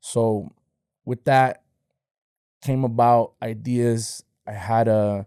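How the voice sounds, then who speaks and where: Recorded very cleanly against a silent background, the dark, mellow voice sounds dry and close with no echo, moving at a very slow pace with long, frequent pauses. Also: man, medium pitch for a man. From Los Angeles, San Fernando Valley. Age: 30s. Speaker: podcaster. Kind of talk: casual interview chat. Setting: podcast studio. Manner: animated.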